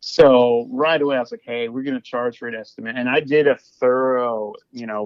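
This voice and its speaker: Loudness swings widely while the speaker holds a moderate pace. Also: man. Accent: Midwestern. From Kansas City area, US Midwest. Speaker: hardwood flooring business owner. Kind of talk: casual podcast interview. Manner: repeats words and restarts sentences often.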